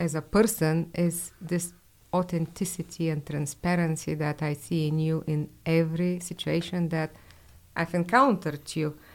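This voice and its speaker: A woman's normal speaking voice, fairly low in pitch, at a fairly slow pace. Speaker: radio host. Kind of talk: polite radio interview.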